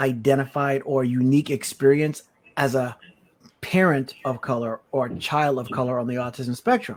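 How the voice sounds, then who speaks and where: A man with an American accent and a normal speaking voice, fairly high pitch, fairly even intonation and moderate pace. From US Virgin Islands. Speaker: podcast co-host. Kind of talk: casual interview conversation.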